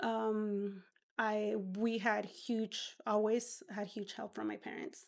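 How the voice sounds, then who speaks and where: A woman with a Spanish accent at a very slow pace. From Peru. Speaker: entrepreneur. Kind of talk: interview.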